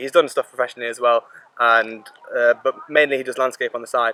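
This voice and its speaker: A man talks at a very fast pace. The sound is dry and close with no echo, though there is noticeable background noise. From England (Slovak-born, moved at two). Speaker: interviewee, hobby film photographer. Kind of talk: casual interview. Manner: casual, chatty.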